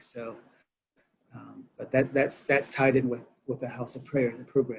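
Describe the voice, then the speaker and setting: Speaking in a Southwestern US accent, a man holds a medium pitch with monotone, flat intonation. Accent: Navajo-accented English. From Navajo Nation. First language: Navajo. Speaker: director of a church mission campus. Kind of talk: interview conversation. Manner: halting, many fillers and repetitions.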